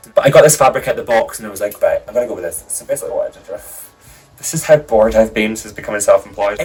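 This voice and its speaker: A man is speaking. Music plays in the background. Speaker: drag artist vlogger. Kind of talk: casual vlog. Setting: home, on a rolly chair. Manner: casual, hesitant with fillers. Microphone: new mic, too far away, poor sound.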